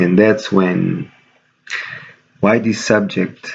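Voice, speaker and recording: Quietly and at a fairly slow pace, a man speaks. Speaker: video blogger. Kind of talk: casual vlog monologue. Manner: quiet, low-key.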